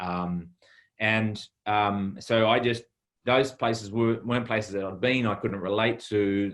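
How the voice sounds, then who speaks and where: Fairly slow, fairly even speech in a New Zealand accent over a quiet background. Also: man. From New Zealand, Taranaki (rural). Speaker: chef. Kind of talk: interview. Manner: halting.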